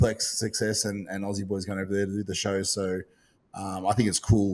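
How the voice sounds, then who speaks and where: In an Australian accent, a man talks at a very fast pace in a fairly low pitch, captured in a very clean recording with a silent background. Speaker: podcast host and bodybuilding competitor. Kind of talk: casual chat. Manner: halting, many fillers.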